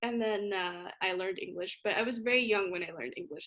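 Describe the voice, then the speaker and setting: A woman at medium pitch with a Spanish accent, talking at a fairly quick pace. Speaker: college student show host. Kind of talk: casual chat.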